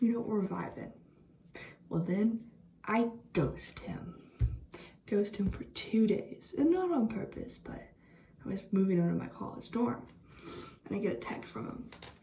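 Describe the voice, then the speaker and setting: A woman at medium pitch speaks in an animated tone with lively intonation, big swings in loudness and long, frequent pauses. Music plays in the background, and room echo is audible. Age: 20s. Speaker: vlogger. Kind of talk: storytime monologue. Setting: bathroom at night. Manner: casual, animated.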